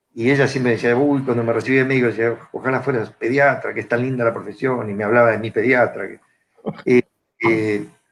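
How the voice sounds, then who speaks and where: A man's medium-pitched voice in a Rioplatense accent, fairly quick and flat in monotone intonation. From Argentina, Buenos Aires area (Morón). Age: 60s. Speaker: psychiatrist and psychoanalyst. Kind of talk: panel talk. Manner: hesitant, many fillers.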